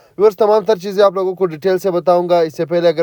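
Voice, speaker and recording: Against noticeable background noise, a man with a high pitch talks at a moderate pace with fairly even intonation. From Pakistan, Gujrat area. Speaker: real estate agent / property vlogger. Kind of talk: property tour. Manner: casual, halting with fillers.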